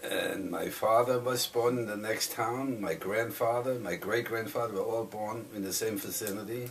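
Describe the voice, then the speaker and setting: Hardly pausing, a man with a German accent speaks at a moderate pace and medium pitch, his intonation fairly even. Noticeable background noise runs underneath. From southern Germany. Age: 80s+. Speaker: Holocaust survivor. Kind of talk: oral history testimony. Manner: halting.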